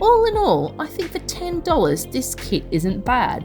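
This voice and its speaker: A woman speaks in an Australian accent. Music plays in the background. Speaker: craft reviewer. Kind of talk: casual voice-over review.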